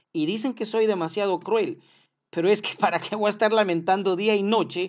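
In an animated tone, a man talks at a high pitch with ordinary pitch variation. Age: 30s. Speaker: preacher. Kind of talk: sermon. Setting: live stream.

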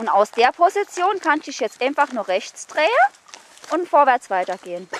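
With a Saarland accent, a woman speaks at a moderate pace in a high voice with very wide pitch swings, her sound dry with no echo over light background noise. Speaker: dog trainer. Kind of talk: instructing a client during training. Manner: lively, engaged. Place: street.

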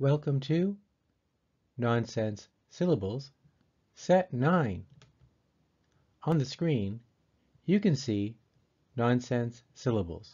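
A somewhat breathy man with an American accent talks at a very slow pace, with long, frequent pauses. His medium pitch swings very widely. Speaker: pronunciation teacher. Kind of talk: tutorial. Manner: clear articulation.

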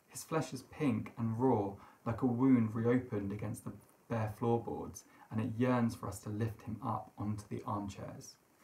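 A man speaks at a moderate pace. His intonation stays fairly even. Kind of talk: literary reading. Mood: eerie, hushed storytelling. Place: home room.

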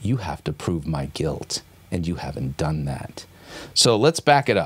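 A man with an American accent, very deep and low in pitch, with vocal fry, very wide pitch swings and a moderate pace. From US West, Los Angeles; California. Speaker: lecturer, commentator. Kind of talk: lecture. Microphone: studio mic.

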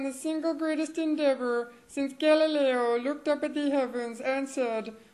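A woman is speaking. Her pace is moderate. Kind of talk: parody documentary narration. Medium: voice reel. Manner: grave, grandiose, deadpan.

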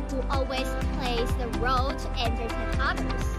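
A woman speaks over loud music in the background. The sound is dry, with no echo. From Taichung, Taiwan. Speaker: university student. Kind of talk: self-introduction talk to camera. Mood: cheerful, friendly. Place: open country.

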